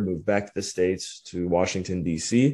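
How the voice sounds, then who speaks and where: Against a quiet background, a man speaks with an American accent. His tone is dark and mellow, and his intonation stays fairly even. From US Midwest, Cleveland, Ohio. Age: 30s. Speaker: entrepreneur. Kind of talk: casual interview.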